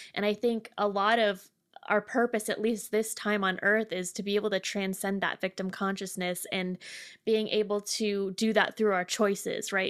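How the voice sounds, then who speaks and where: In a very clean recording with a silent background, a woman with an American accent speaks at a moderate pace in a medium pitch with monotone, flat intonation. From Connecticut, US. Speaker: podcast host. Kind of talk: guided breathing; casual chat.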